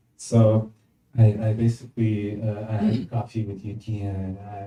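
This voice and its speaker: A man talks with medium pitch and a dark, mellow tone. The voice is somewhat breathy and the intonation monotone and flat. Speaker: musician. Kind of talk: panel Q&A. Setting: stage with audience. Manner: halting.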